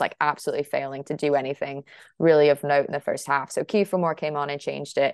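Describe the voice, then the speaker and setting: A woman with an American accent speaks at a very fast pace in a very deep, low voice. The sound is dry and close with no echo, over a quiet background. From United States. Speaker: football journalist. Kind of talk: interview answers.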